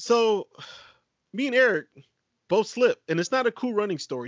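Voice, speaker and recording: A man's animated tone, lively intonation and moderate pace. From Puerto Rico. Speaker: podcast host. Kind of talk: casual chat. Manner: animated, laughing often.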